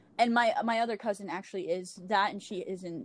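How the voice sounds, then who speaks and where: A woman speaks in a plain, everyday voice with an American accent. Her pitch is medium and her pace moderate. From Louisiana, US. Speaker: podcaster. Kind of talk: casual chat. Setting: remote call.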